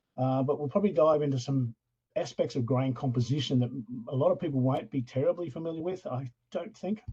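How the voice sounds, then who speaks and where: A man with an American accent talks at a very fast pace and a fairly high pitch with ordinary pitch variation. His voice is somewhat breathy, with a dark, mellow tone. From Australia. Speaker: professor. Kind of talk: lecture. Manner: casual, hesitant with fillers.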